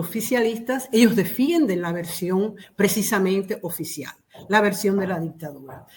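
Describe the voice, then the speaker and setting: Using a plain, everyday voice, a woman talks at a fairly slow pace and medium pitch. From Cuba. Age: 60s. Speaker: activist. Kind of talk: interview.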